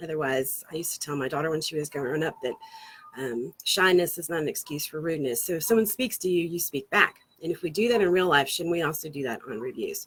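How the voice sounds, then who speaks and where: A woman speaks at a fairly quick pace in a fairly low voice. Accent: slight Southern US. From Florida, US South. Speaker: marketing agency founder. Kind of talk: casual talk to camera, livestream. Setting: outdoors on a porch swing. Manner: fast.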